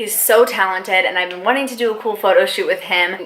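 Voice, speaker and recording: Fairly quick speech from a woman, with background noise clearly present. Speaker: makeup artist and beauty vlogger. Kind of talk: makeup tutorial vlog. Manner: casual, rambling, self-conscious.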